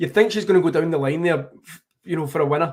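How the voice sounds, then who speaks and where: This is a man with a Glaswegian accent. His pitch is fairly high. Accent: Glaswegian Scottish. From Scotland, Glasgow. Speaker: tennis journalist. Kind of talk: live commentary. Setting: live stream watchalong. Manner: fast.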